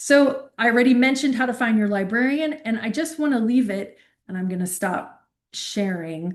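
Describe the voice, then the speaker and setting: A woman with a plain, everyday voice and a fairly high pitch speaks at a moderate pace with lively intonation over a quiet background. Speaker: university librarian. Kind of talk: workshop lecture.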